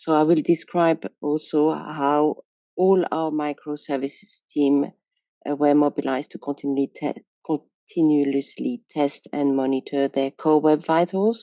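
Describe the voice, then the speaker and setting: A woman with a French accent speaks at a very deep, low pitch with fairly even intonation. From France. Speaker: software quality engineer. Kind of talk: conference presentation. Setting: video call.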